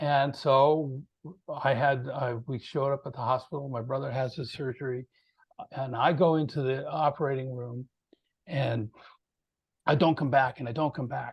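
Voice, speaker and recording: This man has a somewhat breathy voice at a medium pitch, with fairly even intonation. He speaks at a moderate pace, with long, frequent pauses. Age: 60s. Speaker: composer and PTSD awareness advocate. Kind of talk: interview.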